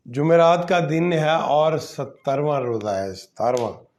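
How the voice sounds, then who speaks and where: Audible room echo surrounds the recording. A man talks with ordinary pitch variation. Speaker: online talk show host. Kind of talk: live commentary monologue. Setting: livestream. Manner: halting, many fillers.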